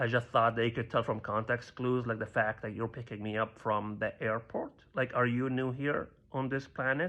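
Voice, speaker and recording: A man of medium pitch with a slight Libyan accent and fairly even intonation. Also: quiet background. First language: Arabic. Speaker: stand-up comedian. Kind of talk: stand-up.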